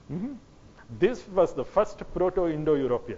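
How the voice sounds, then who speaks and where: The speaker is a man with a Kannada accent and a high pitch. His pace is moderate. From South India (Karnataka). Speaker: lecturer on history and genetics. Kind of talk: lecture. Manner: halting, with self-corrections.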